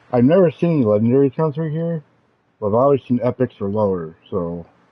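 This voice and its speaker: Here a man talks at a very fast pace. His pitch shows ordinary variation. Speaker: gaming streamer. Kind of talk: gameplay tutorial. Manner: loud; casual, halting with fillers.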